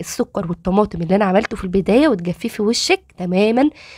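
A woman's somewhat breathy, fairly high voice at a moderate pace, with ordinary pitch variation, on a very clean recording with a silent background. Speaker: cooking and beauty tips youtuber. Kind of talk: tutorial. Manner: animated.

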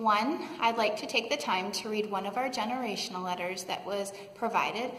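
Audible room echo surrounds a woman talking at a moderate pace with ordinary pitch variation. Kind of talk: announcement to congregation. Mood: warm, calm. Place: church. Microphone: phone near.

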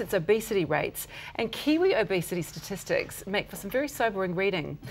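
Talking at a very fast pace, a woman with a New Zealand accent uses lively intonation. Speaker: TV presenter. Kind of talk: scripted intro. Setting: studio. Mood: serious with light touches. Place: studio. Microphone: lapel.

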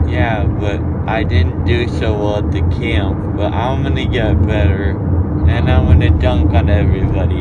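Loud background noise accompanies a man who speaks at a moderate pace with ordinary pitch variation. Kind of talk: casual vlog chat. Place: car. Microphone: phone near.

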